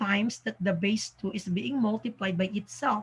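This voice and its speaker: The speaker is a woman whose voice is somewhat breathy. She talks at a moderate pace. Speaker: math teacher. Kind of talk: tutorial. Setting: home recording in the evening. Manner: soft-spoken.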